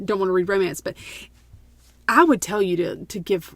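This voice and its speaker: A woman speaks at a medium pitch in a rural Southern US accent. The recording is very clean, with a silent background. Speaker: podcast co-host. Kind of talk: casual chat.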